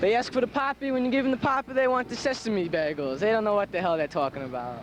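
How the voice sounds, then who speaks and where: A man with an American accent talks at a very fast pace and a high pitch, making very wide pitch swings. Noticeable background noise is present. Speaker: bagel store owner. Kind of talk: interview answer.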